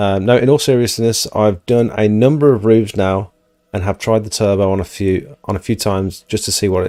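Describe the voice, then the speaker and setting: The speaker has a British accent and fairly even intonation. Music plays in the background. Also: man. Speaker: pressure washing business owner and streamer. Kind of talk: live stream Q&A. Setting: live stream with co-presenter.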